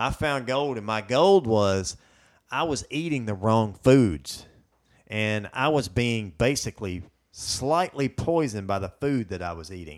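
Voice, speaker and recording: Speaking with a Southern US accent at a fairly slow pace, a man of medium pitch uses lively intonation and big swings in loudness. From US South. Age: 40s. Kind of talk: casual chat. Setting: studio.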